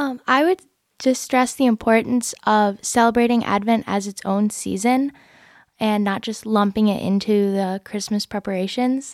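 A woman's fairly high voice at a moderate pace, fairly even in intonation, in a very clean, dry and close recording with a silent background and no echo. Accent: Midwestern American. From Michigan. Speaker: college student. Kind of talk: casual chat.

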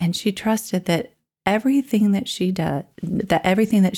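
At a moderate pace, this somewhat breathy voice has a dark, mellow tone. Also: woman. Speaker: podcast co-host. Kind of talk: casual chat.

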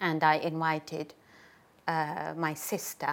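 A woman speaks with a Uyghur accent. Her pitch is very deep and low. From Gulja, East Turkestan (Xinjiang). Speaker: human rights activist and singer. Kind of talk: interview answers about human rights. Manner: halting, many fillers.

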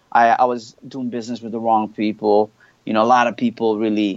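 A man speaks at a medium pitch. His intonation is monotone and flat. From Canada, Montreal. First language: French. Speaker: hip hop artist. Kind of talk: casual interview.

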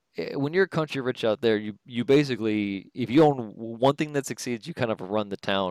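On a very clean, dry, close recording with a silent background and no echo, a man with an American accent speaks at medium pitch and a fairly quick pace, with ordinary pitch variation and hardly any pauses. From Detroit, Michigan. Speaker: podcast guest. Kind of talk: casual chat. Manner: halting, many repetitions.

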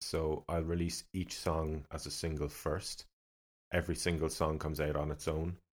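A flat, monotone delivery in a Cork accent at a moderate pace. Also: man. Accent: Cork Irish. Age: 30s. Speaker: independent musician. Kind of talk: casual chat. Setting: studio.

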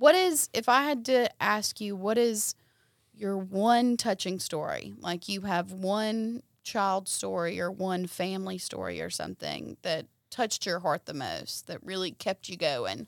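In a dry, close sound with no echo and a very clean recording with a silent background, a woman speaks at medium pitch with ordinary pitch variation. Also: fairly slow pace. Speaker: podcast host. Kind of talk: casual interview. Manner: animated.

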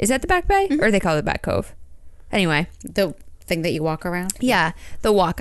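In a normal speaking voice with an American accent, the speaker uses lively intonation over a quiet background. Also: woman. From Maine, US (Bangor). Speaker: podcast co-host. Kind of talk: casual chat.

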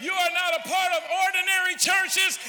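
Shouting over crowd noise in the background, a man's voice reaches an extremely high pitch. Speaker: visiting preacher. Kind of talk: revival-style sermon exhortation, rising to call-and-response praise. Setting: church service with live congregation. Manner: fervent, repetitive exhortations (you ought to, lift your hand); stammering restarts, filler uh and repeated words.

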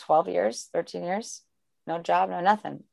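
A woman talks at a moderate pace and a fairly low pitch. Hers is an ordinary speaking voice. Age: 40s. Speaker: life coach. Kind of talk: casual chat.

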